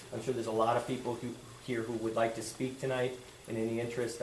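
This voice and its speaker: Speech comes at a very fast pace. Room echo is audible, and background noise is noticeable. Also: man. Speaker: school board member. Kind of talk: public meeting procedures reading. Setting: public board meeting with audience. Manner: loud; halting, self-correcting.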